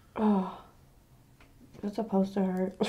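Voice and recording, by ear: A woman's slow, medium-pitched voice with a dark, mellow tone, a slightly husky edge and little pitch movement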